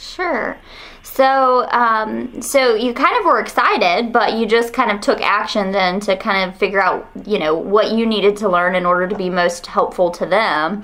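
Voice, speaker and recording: With a Southern US accent, a woman with a fairly high pitch and ordinary pitch variation talks at a moderate pace with hardly any pauses, amid audible room echo and noticeable background noise. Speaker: university researcher. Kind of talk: research interview.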